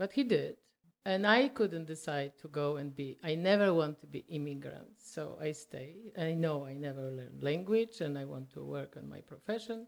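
A woman speaks at a moderate pace in a Polish accent, her pitch very deep and low. Her intonation is lively, with big swings in loudness. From Poland. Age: 70s. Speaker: retired market baker and amateur photographer. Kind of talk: casual interview. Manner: animated.

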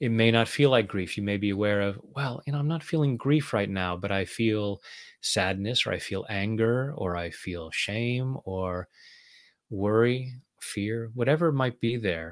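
The recording is very clean, with a silent background. A man with an unremarkable speaking voice talks at a medium pitch with ordinary pitch variation. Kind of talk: guided meditation (tapping round). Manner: calm, slow, soothing, gentle.

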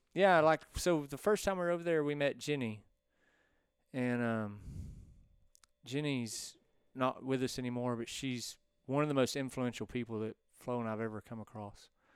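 This man speaks at a medium pitch with a Texan accent, leaving long, frequent pauses. The recording is very clean, with a silent background. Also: ordinary pitch variation, moderate pace. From East Texas. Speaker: land surveyor and shop owner. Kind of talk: casual chat. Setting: bar.

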